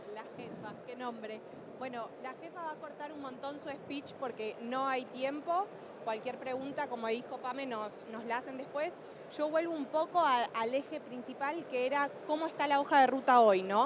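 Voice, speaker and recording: Big swings in loudness mark a woman's high voice with ordinary pitch variation, recorded with audible room echo and noticeable background noise. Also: moderate pace. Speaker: energy industry sustainability panelist. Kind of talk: panel talk.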